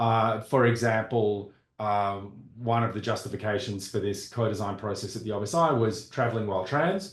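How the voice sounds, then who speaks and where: A man with an Australian accent talks at a moderate pace with a fairly low, somewhat breathy voice. His intonation is fairly even, and audible room echo surrounds him. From Australia (Perth). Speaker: computer scientist, board member. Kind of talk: self-introduction at online public meeting. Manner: hesitant, many fillers and restarts.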